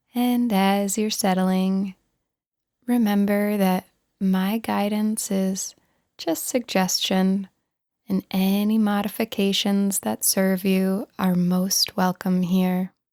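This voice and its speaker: A very slow, gentle voice with a dark, mellow tone and flat, monotone intonation. The loudness stays very even, and the recording is very clean and dry, close with no echo over a silent background. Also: woman, medium pitch for a woman. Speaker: meditation guide. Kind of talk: guided meditation. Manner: gentle, soft-spoken.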